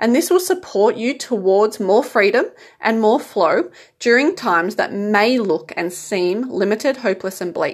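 This woman has a normal speaking voice, fairly high in pitch, with lively intonation. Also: moderate pace. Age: 30s. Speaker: spiritual self-help podcaster. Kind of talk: monologue advice talk.

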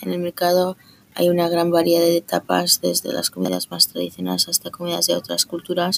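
The speech comes at a fairly quick pace, in a dry, close sound with no echo. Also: woman. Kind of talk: scripted tour-guide narration, upbeat travel-itinerary style. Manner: enthusiastic, polished, steady pace, promotional tone.

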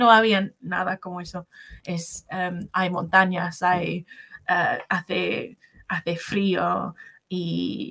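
In a dry, close sound with no echo, a woman with an English accent talks at a very slow pace. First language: English (speaking Spanish). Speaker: English language assistant, Spanish learner. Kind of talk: interview. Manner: halting, many fillers and restarts.

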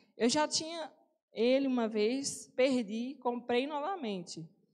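Her voice high and her intonation lively, a woman speaks at a very slow pace. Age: 20s. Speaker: lay preacher. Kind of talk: sermon. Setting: church.

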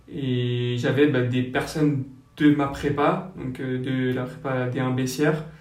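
A man's medium-pitched, monotone, flat delivery at a very slow pace, with audible room echo. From French Basque Country. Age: 20s. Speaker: young public-law lawyer. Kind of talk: casual interview. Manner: hesitant, many fillers.

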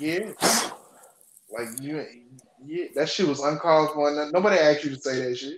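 A fairly high male voice with an American accent, big swings in loudness and long, frequent pauses. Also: ordinary pitch variation, moderate pace. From Texas, Houston area. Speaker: podcast guest. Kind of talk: casual chat.

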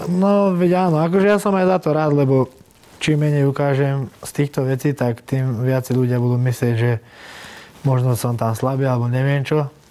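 Here is a normal speaking voice, delivered at a moderate pace. Its pitch moves with ordinary variation. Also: man, fairly high pitch for a man. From Slovakia. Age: 20s. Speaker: MMA fighter. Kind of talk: interview.

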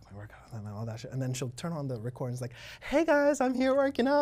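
On a very clean recording against a silent background, a man delivers his words at a very fast pace. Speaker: gym owner and bodybuilder. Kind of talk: casual interview chat. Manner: casual, laid-back.

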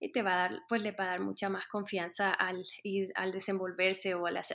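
A woman of medium pitch speaks at a moderate pace with monotone, flat intonation. Her recording is very clean, the background silent. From Colombia, Caribbean coast (Montería). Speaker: music teacher. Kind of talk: interview. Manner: hesitant, many fillers.

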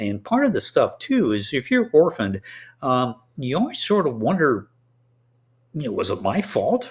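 Vocal fry runs through a man's fairly high voice as his pitch swings very widely. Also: moderate pace, very clean recording, silent background. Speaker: retired Navy doctor and author. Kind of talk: interview. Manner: hesitant, filler-heavy.

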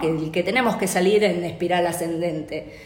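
The speech moves at a fairly slow pace. There is noticeable background noise and audible room echo. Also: woman. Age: 40s. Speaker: occupational therapist. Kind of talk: interview.

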